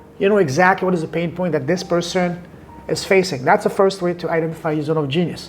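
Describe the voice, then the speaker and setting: Over music in the background, a man with a high voice talks at a very fast pace with fairly even intonation. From southern France. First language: French. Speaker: podcast and business coach. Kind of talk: interview conversation.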